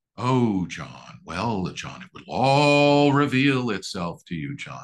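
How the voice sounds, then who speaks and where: A man uses a put-on character voice, speaking at a fairly slow pace and a medium pitch. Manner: serene, knowing, cryptic.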